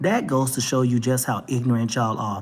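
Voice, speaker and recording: A man with a Texas accent. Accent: Texas twang. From Texas, Dallas. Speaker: talk show vlogger. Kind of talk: opinion rant monologue. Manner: animated.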